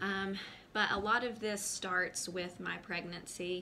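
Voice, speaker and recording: Speaking very slowly in an American accent, a woman has a bright, sharp tone and ordinary pitch variation, with audible room echo around her. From US South, North Carolina. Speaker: mom vlogger. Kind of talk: personal testimony to camera. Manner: hesitant, many fillers.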